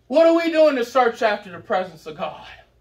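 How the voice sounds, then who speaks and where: Shouting in a Southern US accent, a man speaks at a fairly slow pace with very wide pitch swings. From US South. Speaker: preacher. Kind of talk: revival sermon, hellfire exhortation with congregation call-and-response. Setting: church with live congregation. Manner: fiery, escalating shouted warnings punctuated by amens; rhythmic, repetitive cadence hammering short phrases. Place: church. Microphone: camera far.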